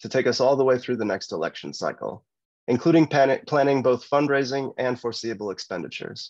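A man with an American accent talks at a fairly quick pace. His pitch is fairly high, and the background is quiet. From Michigan. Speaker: political candidate, lawyer. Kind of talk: candidate forum speech. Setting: video call. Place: home room. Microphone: video call.

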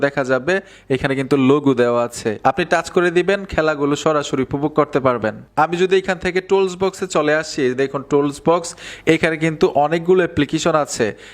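Animated man with fairly high pitch, ordinary pitch variation and very even loudness. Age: 30s. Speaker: tech YouTuber. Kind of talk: tutorial.

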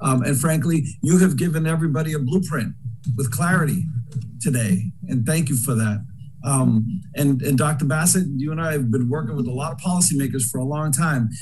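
A man with an American accent talks at a fairly quick pace and fairly high pitch, with ordinary pitch variation and light background noise. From Boston. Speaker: former state legislator; panelist. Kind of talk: panel discussion. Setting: video call. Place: home room. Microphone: webcam.

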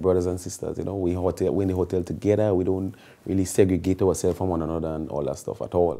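A man's very deep, low voice with a dark, mellow tone at a very fast pace. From Carriacou, Grenada. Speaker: soca artist. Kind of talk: casual interview. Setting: studio sofa. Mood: relaxed, cheerful. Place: home room.

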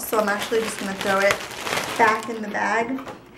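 A woman's voice over noticeable background noise. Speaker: beauty vlogger. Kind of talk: casual vlog chat. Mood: cheerful, excited. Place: home room. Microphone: camera far.

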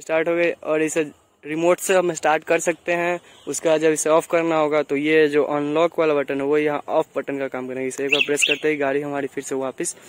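A man speaks in a monotone, flat way at a moderate pace. The sound is dry with no echo, with light background noise. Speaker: vehicle reviewer. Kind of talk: product review walkthrough. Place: street.

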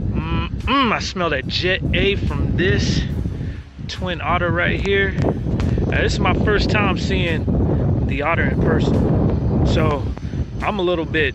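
A man at a very slow pace, dry with no echo, under loud background noise. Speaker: pilot vlogger. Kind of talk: casual vlog chat. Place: open country. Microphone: phone near.

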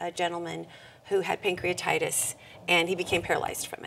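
A woman with an American accent talks at a fairly quick pace over light background noise. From California, Monterey County; California. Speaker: nonprofit executive; interview guest. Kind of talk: interview. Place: studio.

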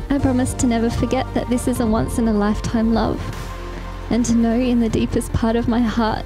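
Over clear background music, a woman talks at a fairly quick pace in a high pitch, the sound dry with no echo. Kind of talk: reading wedding vows. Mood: emotional, tender. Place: garden. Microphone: handheld.

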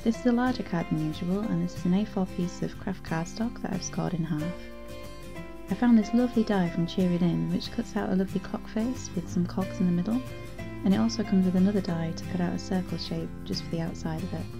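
A woman with a British accent talks at a very fast pace. Music plays in the background. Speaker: card making tutorial host. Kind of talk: craft tutorial voice-over.

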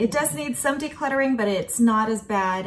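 A woman speaks in a somewhat breathy voice. Light background noise can be heard. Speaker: home vlogger. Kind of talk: casual vlog chat. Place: kitchen. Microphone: phone near.

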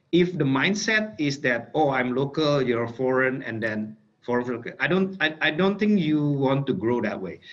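A man with an Indonesian accent speaks at a fairly slow pace. His pitch is fairly high and his intonation lively. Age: 40s. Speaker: tech company executive; guest. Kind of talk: webinar talk. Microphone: video call.

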